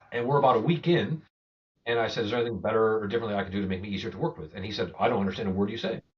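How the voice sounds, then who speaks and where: Very fast, somewhat breathy speech from a man with fairly low pitch and lively intonation. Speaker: go-to-market executive. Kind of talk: podcast interview.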